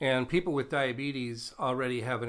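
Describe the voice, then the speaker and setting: Speaking at a moderate pace, a man keeps his intonation fairly even. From Nebraska. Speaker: physician and medical professor. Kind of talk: interview. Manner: polished broadcaster delivery.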